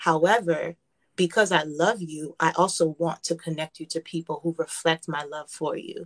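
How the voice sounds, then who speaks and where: An unremarkable speaking voice, this woman's has a fairly low pitch and an American accent, moving at a moderate pace with fairly even intonation and big swings in loudness, in a dry, close sound with no echo. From Brooklyn, New York. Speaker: gospel singer and author. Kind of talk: interview.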